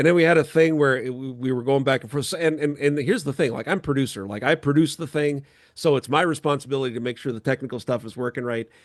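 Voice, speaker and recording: The speech moves at a very fast pace with hardly any pauses and ordinary pitch variation over a quiet background. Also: man, fairly high pitch for a man. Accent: American. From North Dakota (New Salem). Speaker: podcast host and producer. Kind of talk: casual chat.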